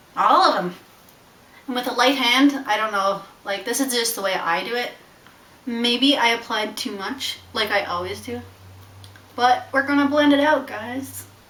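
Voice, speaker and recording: A woman with a high voice and ordinary pitch variation speaks at a moderate pace with long, frequent pauses, amid noticeable background noise and audible room echo. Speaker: beauty vlogger. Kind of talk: casual vlog, makeup tutorial. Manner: animated.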